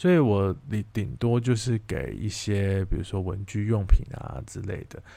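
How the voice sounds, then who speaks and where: A man with a fairly low pitch and ordinary pitch variation speaks fairly slowly, with hardly any pauses and big swings in loudness. The recording is very clean with a silent background. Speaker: author and former teacher hosting own podcast. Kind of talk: storytelling monologue. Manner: halting, many fillers.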